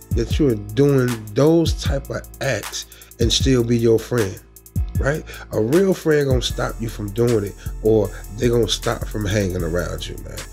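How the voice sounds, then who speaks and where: Faint music plays in the background. A man talks at a fairly slow pace. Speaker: commentary vlogger. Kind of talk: casual commentary. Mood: earnest, disagreeing. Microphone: phone near.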